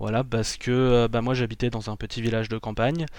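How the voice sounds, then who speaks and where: Against a quiet background, a man talks at a fairly slow pace. His pitch is medium. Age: 20s. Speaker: YouTuber. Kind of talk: casual chat. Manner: halting.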